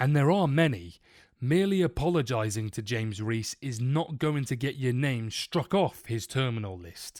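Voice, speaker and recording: On a very clean recording with a silent background, a man at a medium pitch speaks at a moderate pace with very wide pitch swings. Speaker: film and TV reviewer. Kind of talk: scripted review monologue.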